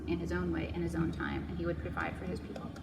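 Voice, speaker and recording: A woman talks amid noticeable background noise, her words carrying audible room echo. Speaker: Bible study teacher. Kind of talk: Bible study teaching.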